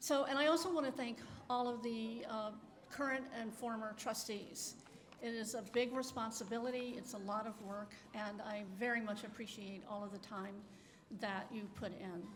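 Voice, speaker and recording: A woman's fairly high voice at a moderate pace, with audible room echo and noticeable background noise. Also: ordinary pitch variation. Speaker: retired library director. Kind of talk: ceremonial speech. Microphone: too quiet at first, turned up.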